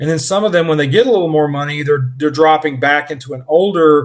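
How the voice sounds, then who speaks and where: A man's fairly high-pitched voice, an unremarkable speaking voice, with ordinary pitch variation. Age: 60s. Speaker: automotive YouTuber. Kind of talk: casual chat.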